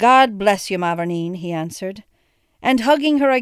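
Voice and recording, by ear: Against a quiet background, the intonation is lively as someone is reading aloud in a natural voice.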